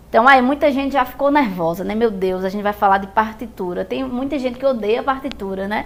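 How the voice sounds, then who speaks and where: In a room with audible echo, a woman speaks with lively intonation. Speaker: music teacher. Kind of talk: lecture.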